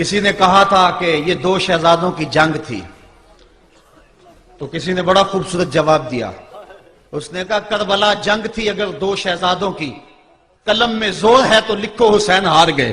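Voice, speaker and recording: Against noticeable background noise, a man talks in a high pitch with ordinary pitch variation. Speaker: Islamic preacher giving a sermon. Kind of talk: religious sermon (bayan) on the Battle of Karbala. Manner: emotive, passionate, oratorical.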